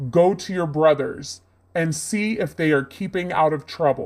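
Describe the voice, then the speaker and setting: Doing a put-on character voice, a man speaks at a moderate pace with a high pitch and ordinary pitch variation, in a very clean recording with a silent background. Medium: audio drama.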